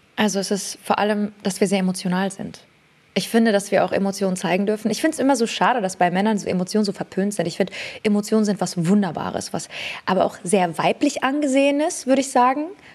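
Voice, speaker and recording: Speaking at a very fast pace, the voice shows ordinary pitch variation. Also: woman, medium pitch for a woman. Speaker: beauty entrepreneur. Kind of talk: casual chat.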